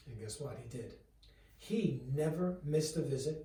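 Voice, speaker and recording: Audible room echo accompanies a man speaking at a moderate pace. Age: 60s. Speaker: chiropractor. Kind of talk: direct-to-camera talk. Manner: conversational.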